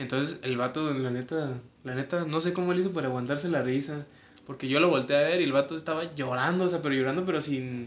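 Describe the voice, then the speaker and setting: Talking at a very fast pace, a man with a Mexican accent and a fairly high pitch shows ordinary pitch variation. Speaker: podcast co-host. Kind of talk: casual chat.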